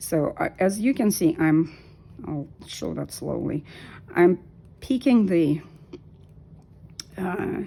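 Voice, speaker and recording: A woman in a Russian accent speaks at a very slow pace, with noticeable background noise behind her. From Soviet Union. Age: 50s. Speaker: knitting vlogger. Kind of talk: tutorial. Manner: halting.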